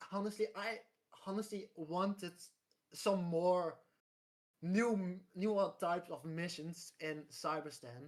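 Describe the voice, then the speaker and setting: A woman speaks at a very slow pace with a non-native accent. Long pauses come often. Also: medium pitch for a woman, ordinary pitch variation. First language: not English. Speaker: gaming podcast guest. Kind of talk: casual chat. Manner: halting.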